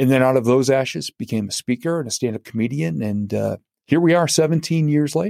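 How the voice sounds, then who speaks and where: In a dry, close recording with no echo, a man with an unremarkable speaking voice and medium pitch talks at a fairly quick pace with lively intonation. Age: 50s. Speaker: motivational speaker and comedian. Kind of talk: interview.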